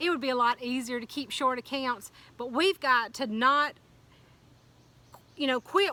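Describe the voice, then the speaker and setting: A woman's high-pitched, animated voice at a fairly quick pace. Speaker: motivational speaker. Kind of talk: motivational talk. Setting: outdoors.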